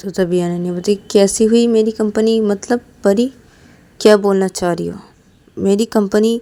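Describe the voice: What we hear is plain reading aloud.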